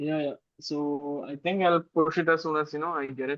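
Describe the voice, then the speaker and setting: In a dry, close sound with no echo, a man speaks at a fairly high pitch with fairly even intonation. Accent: non-native. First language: not English. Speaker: software developer. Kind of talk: casual technical meeting chat. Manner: hesitant, many fillers.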